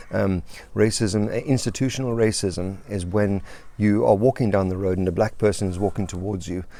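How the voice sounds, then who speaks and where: A man's dark, mellow voice, fairly low in pitch, with ordinary pitch variation at a fairly quick pace. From South Africa. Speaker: life coach and pastor. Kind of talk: video monologue. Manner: halting, with many fillers and restarts.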